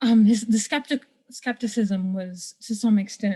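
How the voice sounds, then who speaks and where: With a dark, mellow tone and somewhat breathy delivery, a woman talks at medium pitch with fairly even intonation. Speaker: audience participant. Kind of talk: question from audience.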